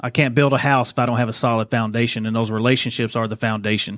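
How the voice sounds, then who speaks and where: In a very clean recording with a silent background, a man speaks very fast in a Southern US accent with flat, monotone intonation. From Arkansas, Little Rock. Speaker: police chief. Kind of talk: interview.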